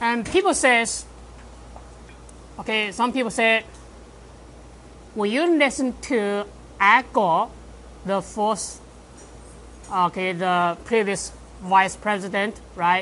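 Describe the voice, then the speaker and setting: Speaking at a very slow pace, a woman with a medium pitch and ordinary pitch variation takes long, frequent pauses. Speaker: math professor. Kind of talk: lecture.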